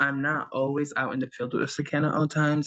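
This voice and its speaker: A man's bright, sharp voice stays flat and monotone throughout. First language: not English. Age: young. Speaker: social media manager for a food business. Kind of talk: work meeting update on video call. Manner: hesitant, many fillers.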